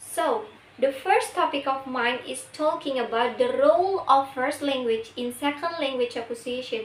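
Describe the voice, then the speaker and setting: A woman with an Indonesian accent speaks at a moderate pace and a high pitch. Her pitch variation is ordinary, and there is noticeable background noise. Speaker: university student. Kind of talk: class presentation.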